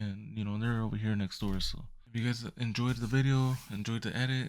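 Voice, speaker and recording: Soft-spoken, a man talks at a medium pitch. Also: fairly even intonation, fairly quick pace. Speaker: photography youtuber. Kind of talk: tutorial. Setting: at home at night. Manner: halting. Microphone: mic close to speaker.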